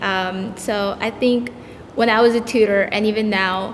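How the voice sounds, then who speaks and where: A woman talks with a Spanish accent and fairly even intonation. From El Salvador, raised in US. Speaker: tutor. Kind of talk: panel discussion.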